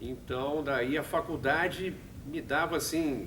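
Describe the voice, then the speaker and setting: This man's speech comes with audible room echo. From Brazil, São Paulo. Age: 60s. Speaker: radio production manager and musician. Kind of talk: talk to students. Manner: halting.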